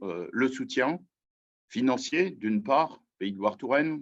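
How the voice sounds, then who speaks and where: A man is speaking at a medium pitch. His pace is fairly slow. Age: 60s. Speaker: mayor. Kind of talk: testimony. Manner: hesitant.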